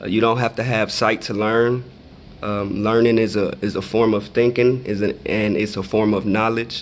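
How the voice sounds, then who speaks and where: Speaking with an American accent in a plain, everyday voice, a man keeps a medium pitch, fairly even intonation, and a moderate pace. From Michigan and Texas, US. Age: 30s. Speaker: blindness advocate. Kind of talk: Q&A for schoolchildren.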